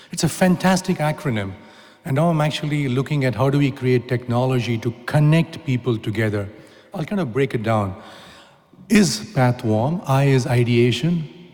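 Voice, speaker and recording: Lively intonation and a moderate pace mark this voice with an Indian accent. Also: man, medium pitch for a man. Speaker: technology entrepreneur and speaker. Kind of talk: conference talk. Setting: stage with audience. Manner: animated.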